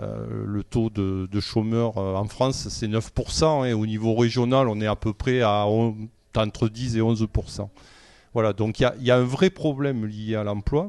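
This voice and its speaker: At a fairly slow pace, a man with a medium-pitched voice talks in fairly even intonation. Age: 60s. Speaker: local election candidate. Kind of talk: political interview. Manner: halting, many hesitations.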